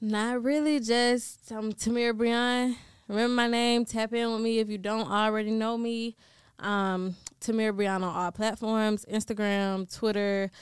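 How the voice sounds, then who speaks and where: Against a quiet background, a woman speaks fairly slowly in an American accent with fairly even intonation. She has an unremarkable speaking voice at a fairly high pitch. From Georgia, US (Decatur, Atlanta area). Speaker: rapper. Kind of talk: casual interview. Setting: studio.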